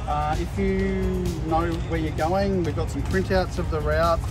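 A man at a moderate pace with ordinary pitch variation, dry with no echo, and clear music in the background. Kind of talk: group briefing. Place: street.

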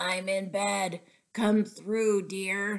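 A woman puts on a gruff character voice at medium pitch, delivered in a monotone, flat intonation.

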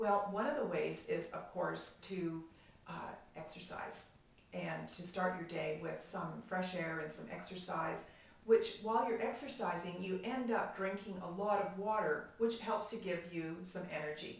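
In a room with audible echo, a woman speaks at a fairly slow pace in an upbeat tone, with a medium pitch and ordinary pitch variation. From Canada. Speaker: professional organizer and productivity coach. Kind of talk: casual talk to camera. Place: home room. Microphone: camera far.

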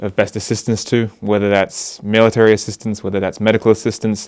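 Speaking with an Australian accent, a man is heard. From Australia, Sydney. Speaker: volunteer aid worker. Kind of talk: interview. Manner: hesitant, many fillers.

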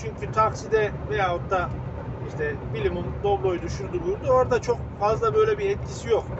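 Fairly quick speech from a man, noticeable background noise around it. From Ankara, Haymana; Ankara. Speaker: truck driver and video blogger. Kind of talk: casual vlog monologue. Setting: in a truck cab. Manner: loud; hesitant with fillers.

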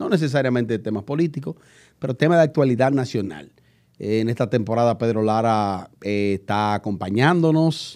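The speaker's intonation is lively and the pace moderate, with a quiet background. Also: man. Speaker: YouTube show host. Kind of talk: casual talk show discussion. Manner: joking, chatty. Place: studio. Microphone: studio mic.

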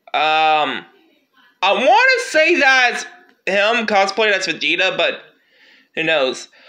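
A raised, projected voice moves through very wide pitch swings at a very slow pace, with long, frequent pauses. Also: man, high pitch for a man. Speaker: gaming YouTuber. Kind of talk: casual video commentary. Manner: halting, many fillers.

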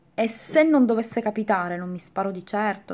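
The voice belongs to a woman. She sounds animated and keeps a moderate pace. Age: 40s. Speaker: beauty YouTuber; vlogger. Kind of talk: casual vlog chat; casual vlog chat, storytime. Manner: halting. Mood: defiant, animated. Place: home room. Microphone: phone near.

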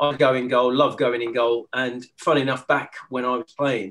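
A man speaks in a monotone, flat intonation. The background is quiet. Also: moderate pace. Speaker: guest. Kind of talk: interview answer. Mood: relaxed, amused. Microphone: video call.

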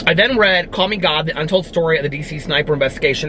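A man talks at a very fast pace. Light background noise runs underneath. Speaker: book vlogger. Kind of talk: casual vlog chat. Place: car.

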